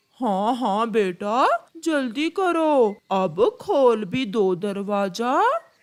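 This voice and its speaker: This cartoonish character voice sounds female. It moves at a very slow pace. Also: fairly high pitch for a woman, hardly any pauses. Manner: sweetly deceitful.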